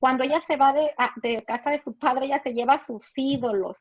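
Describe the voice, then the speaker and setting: Against a quiet background, a woman speaks with a high pitch and fairly even intonation. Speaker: pastor's wife, Bible teacher. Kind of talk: Bible teaching. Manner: halting, with many fillers.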